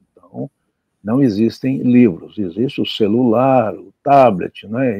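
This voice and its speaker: A man speaks at a very slow pace. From Brazil, Minas Gerais. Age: 70s. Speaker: journalist and writer. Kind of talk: interview. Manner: halting.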